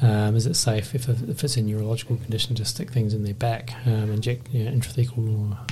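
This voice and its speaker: Flat, monotone delivery from a man with an Australian accent, at a fairly quick pace over noticeable background noise. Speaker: anaesthetist podcast host. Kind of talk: casual professional discussion.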